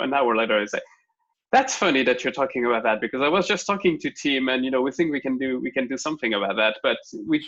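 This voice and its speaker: Talking at a very fast pace in a French accent, a man with a medium pitch, ordinary pitch variation and a bright, sharp tone. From France. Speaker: tech company engineering lead. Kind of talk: interview.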